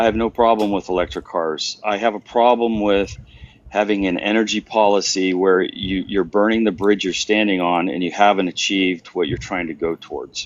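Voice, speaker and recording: A man with an unremarkable speaking voice, fairly low pitch, fairly even intonation and a moderate pace. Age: 60s. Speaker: caller in political debate. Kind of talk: heated debate.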